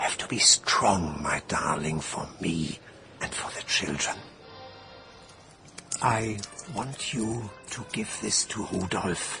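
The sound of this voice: Faint music plays in the background as a man does a put-on character voice at a slow pace, low-pitched with vocal fry and a bright, sharp tone. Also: ordinary pitch variation.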